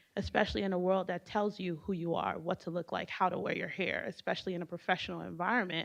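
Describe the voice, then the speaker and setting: A woman's medium-pitched voice with a Haitian accent, fairly even intonation, and a quiet background. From US, Haitian immigrant family. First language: Haitian Creole. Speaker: panelist. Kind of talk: panel discussion.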